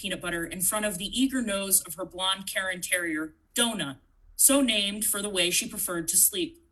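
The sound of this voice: The reading voice never sounds forced. It stays unforced throughout.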